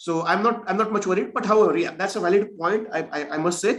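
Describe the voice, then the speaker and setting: Speaking at a very fast pace, a man gets his words out. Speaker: competition team presenter. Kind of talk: Q&A after a project pitch. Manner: halting, many fillers.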